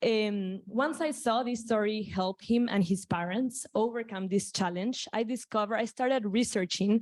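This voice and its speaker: Fairly high in pitch, a woman with a Spanish accent speaks with hardly any pauses, very even loudness and ordinary pitch variation. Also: moderate pace. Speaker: startup founder pitching. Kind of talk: pitch presentation.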